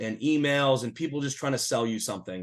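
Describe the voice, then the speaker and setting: An ordinary speaking voice from a man with an American accent, medium pitch, ordinary pitch variation, moderate pace and a quiet background. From Massachusetts, US. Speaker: Medicare insurance consultant. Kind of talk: webinar presentation.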